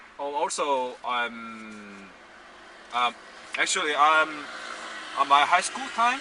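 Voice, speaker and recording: Against noticeable background noise, a man speaks at a fairly high pitch with lively intonation. His pace is very slow, with long, frequent pauses. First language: Korean. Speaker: filmmaker. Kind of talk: casual chat. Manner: halting.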